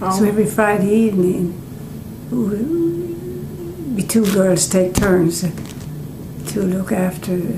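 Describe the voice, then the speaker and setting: Noticeable background noise accompanies a woman speaking at a very slow pace and medium pitch, with ordinary pitch variation. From Newfoundland. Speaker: retired teacher. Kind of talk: oral history interview answer.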